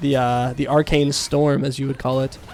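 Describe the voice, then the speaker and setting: A man amid noticeable background noise. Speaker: esports caster. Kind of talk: live commentary. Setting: live stream. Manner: loud, yelling at times; fast.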